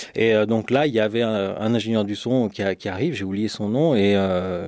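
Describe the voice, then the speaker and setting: In a very clean recording with a silent background, a man of medium pitch speaks at a moderate pace. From France, Lyon. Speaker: sound engineer. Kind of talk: interview. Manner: halting.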